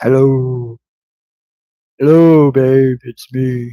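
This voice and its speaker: A man puts on a character voice at a medium pitch. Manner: intimate, affectionate.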